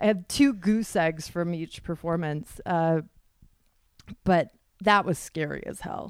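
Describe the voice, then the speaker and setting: A woman with a fairly low pitch speaks fairly slowly, with ordinary pitch variation and long, frequent pauses. Her loudness swings widely. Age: 30s. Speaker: stand-up comedian. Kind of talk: casual chat.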